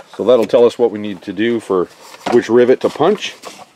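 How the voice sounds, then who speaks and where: Moderate-paced speech from a man, with a dry sound with no echo and noticeable background noise. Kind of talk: tutorial. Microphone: phone near.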